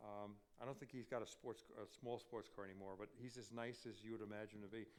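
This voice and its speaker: The speaker, in an American accent, goes at a very fast pace with monotone, flat intonation. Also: man, medium pitch for a man. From Long Island, New York. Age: 70s. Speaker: author and TV personality. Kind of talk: audience Q&A talk. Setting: stage with audience.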